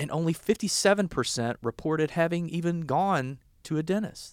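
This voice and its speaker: A man talks at a moderate pace in a very clean recording with a silent background and a dry, close sound with no echo. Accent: Southern US. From US South, southern Arkansas. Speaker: podcast host, health policy director. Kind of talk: interview podcast.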